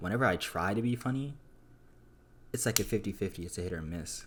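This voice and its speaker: Soft-spoken and very fast, the voice moves with ordinary pitch variation. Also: man. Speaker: YouTuber, student. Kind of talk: casual vlog monologue. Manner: halting, stumbling over words.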